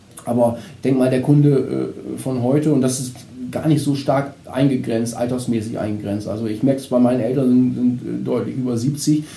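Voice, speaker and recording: A man at a medium pitch speaks at a moderate pace in a flat monotone, with audible room echo and noticeable background noise. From northern Germany, Vechta district (Lower Saxony). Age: 50s. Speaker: insurance advisor. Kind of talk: podcast interview.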